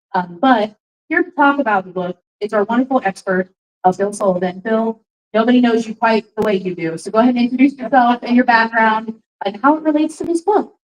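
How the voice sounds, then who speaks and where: Speaking at a fairly quick pace, a woman uses a fairly high pitch and lively intonation in a dry, close recording with no echo. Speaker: book club host. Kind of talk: live event introduction. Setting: bar with live audience. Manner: loud.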